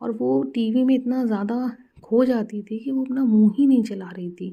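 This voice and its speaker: A woman's voice sounds dark and mellow, somewhat breathy and fairly high. Her pitch varies in an ordinary way. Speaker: mother. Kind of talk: casual parenting advice to camera.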